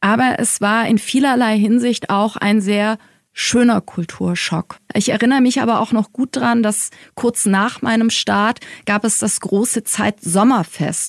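An ordinary speaking voice moves at a fairly slow pace with very even loudness and fairly even intonation, recorded with a dry, close sound and no echo. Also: woman, fairly high pitch for a woman. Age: 40s. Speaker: head of corporate communications at a publisher. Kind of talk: interview. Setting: studio at the publisher's office.

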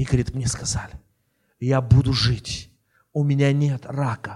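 With an Armenian accent, a man speaks at a fairly slow pace in a medium pitch, his voice somewhat breathy. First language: Armenian (speaking Russian). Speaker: bishop. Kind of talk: sermon. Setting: church.

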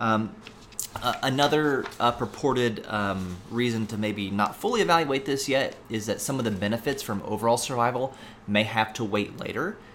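A man with an American accent speaks at a moderate pace and a medium pitch, with ordinary pitch variation. Noticeable background noise runs behind him. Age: 30s. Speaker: pharmacy professor and podcast host. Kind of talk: solo educational podcast monologue. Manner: frequent fillers and hesitations.

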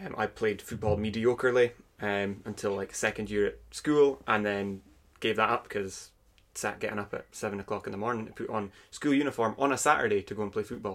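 Fairly low in pitch, a man talks at a fairly quick pace with fairly even intonation. The recording is very clean, with a silent background. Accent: Aberdeen. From Scotland, Aberdeen. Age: 20s. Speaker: podcast guest. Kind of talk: casual chat. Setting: at home.

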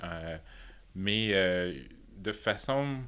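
This man has a very deep, low pitch and a bright, sharp tone. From Quebec, Thetford Mines. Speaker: pharmaceutical sales director. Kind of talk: interview. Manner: halting.

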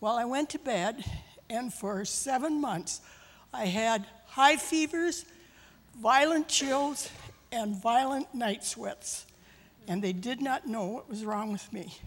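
Very slowly, a woman with an Upper Midwest accent talks at a high pitch. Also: lively intonation. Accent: Upper Midwest American. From US Midwest (Minnesota). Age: 80s+. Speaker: church member. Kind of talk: testimony. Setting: church.

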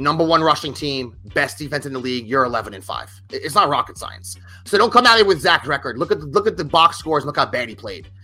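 Speaking very fast with hardly any pauses, a man with a fairly high pitch uses very wide pitch swings, an animated tone, a bright, sharp sound and vocal fry. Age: 40s. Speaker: sports podcast host. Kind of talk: casual chat. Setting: studio.

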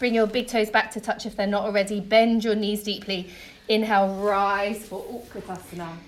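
A woman's medium-pitched voice, soothing and gentle in tone, with monotone, flat intonation. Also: moderate pace. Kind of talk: guided yoga class instruction. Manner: calm, rhythmic, cue-by-cue coaching; clear and encouraging; soothing and gentle in breathwork, brisk and directive in the flow.

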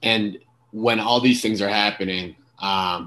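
In a normal speaking voice, a man talks at a fairly slow pace with fairly low pitch and fairly even intonation against a quiet background. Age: 20s. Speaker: podcast host. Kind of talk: casual interview.

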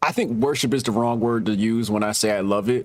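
At a medium pitch and moderate tempo, this man talks in a normal speaking voice. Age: 40s. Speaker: podcast host and tech startup co-founder. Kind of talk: casual chat.

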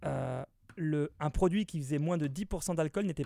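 This is an ordinary speaking voice from a man with a fairly high pitch and ordinary pitch variation. He talks at a moderate pace, and the sound is dry and close with no echo. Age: 20s. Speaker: radio host. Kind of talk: casual chat.

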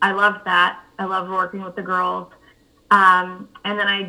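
With an American accent, a woman speaks in a plain, everyday voice at a medium pitch. Her intonation stays fairly even, and her pace is fairly slow. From North Carolina. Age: 30s. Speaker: author and maternal mental health advocate. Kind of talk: interview.

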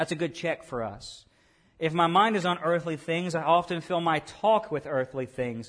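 A man's high-pitched voice with a Southern US accent. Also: ordinary pitch variation, moderate pace. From US South, Arkansas. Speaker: pastor. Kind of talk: sermon. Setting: church.

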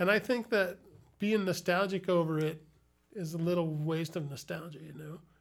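With an American accent, a man talks at a moderate pace in a high pitch with ordinary pitch variation. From Chicago, Illinois. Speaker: comedian. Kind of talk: casual chat.

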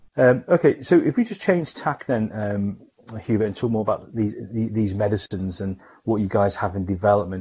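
At a moderate pace and with hardly any pauses, a man talks in a fairly low, somewhat breathy voice with ordinary pitch variation. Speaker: pharmaceutical scientist and podcast host. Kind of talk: interview.

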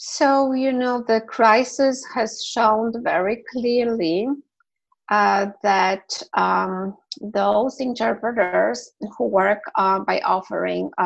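A woman speaks with a Polish accent. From Poland. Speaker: medical interpreter. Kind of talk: interview.

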